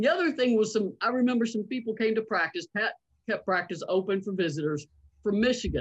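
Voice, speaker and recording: The speaker uses a Southern US accent at a fairly quick pace. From North Carolina. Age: 50s. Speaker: sports journalist and author. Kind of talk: interview. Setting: video call from home.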